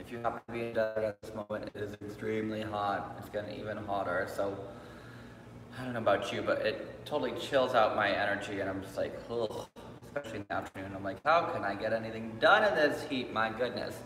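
Noticeable background noise sits under this clip. The man's delivery is very fast, and his pitch varies in an ordinary way. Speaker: yoga instructor. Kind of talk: online class instruction. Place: hall. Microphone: camera far.

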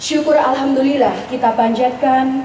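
There is audible room echo and light background noise. A woman talks in a high pitch at a fairly slow pace. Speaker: master of ceremonies. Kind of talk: formal religious event hosting. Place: tent.

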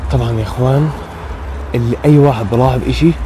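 A man talks at a moderate pace, the sound dry with no echo and light noise in the background. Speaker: paranormal explorer vlogger. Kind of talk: casual vlog chat. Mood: nervous, hushed, fearful. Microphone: phone near.

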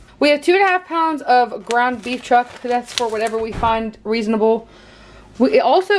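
Lively intonation marks a woman speaking at fairly high pitch and moderate pace.

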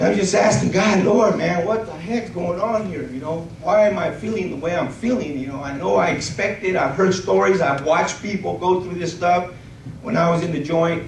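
A man speaks at a high pitch with vocal fry and ordinary pitch variation. His pace is moderate, and the room echo is audible.

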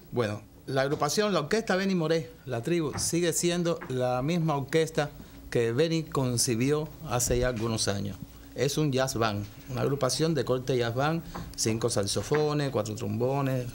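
Over light background noise, a man talks at a moderate pace with very even loudness and ordinary pitch variation. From Cuba. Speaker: saxophonist in a big band. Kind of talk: TV interview; interview answer. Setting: TV studio. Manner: hesitant, with fillers. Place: studio.

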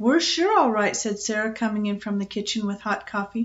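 In a natural reading voice, the words come with fairly even intonation.

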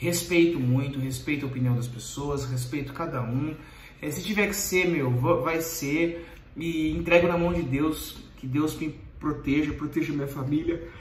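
With audible room echo and light background noise, a man talks at a fairly slow pace in a fairly high pitch, his intonation fairly even. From Brazil. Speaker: YouTuber. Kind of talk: Q&A video reading follower questions. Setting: recording late at night. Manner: direct and brisk. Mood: earnest, somewhat defensive. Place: home room. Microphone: phone near.

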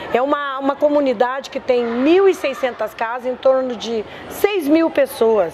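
A woman talks at a very slow pace, her pitch high with ordinary variation. Light background noise sits behind her. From southern Brazil, Porto Alegre; Rio Grande do Sul, Brazil. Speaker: community activist. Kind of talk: testimony. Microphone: lapel.

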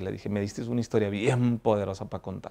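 A man speaks at a moderate pace in a dark, mellow tone. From Mexico, Ensenada, Baja California; Baja California, Mexico. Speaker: lawyer and businessman, former gang member; interviewee. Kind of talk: life story interview. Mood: reflective, earnest. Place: garden. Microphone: lapel.

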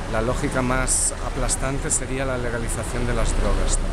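Amid loud background noise, a man talks at a moderate pace. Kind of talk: interview answer. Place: street. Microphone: phone near.

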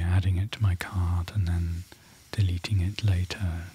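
Soft-spoken and somewhat breathy, a man with a British accent talks very slowly in a very deep, low voice with a dark, mellow tone and monotone, flat intonation. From United Kingdom. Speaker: ASMR creator. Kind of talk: ASMR unboxing rambling.

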